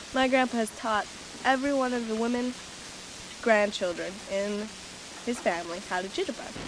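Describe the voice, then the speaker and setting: Noticeable background noise sits under a voice moving at a moderate pace with ordinary pitch variation. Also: woman. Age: 20s. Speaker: narrator. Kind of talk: scripted narration.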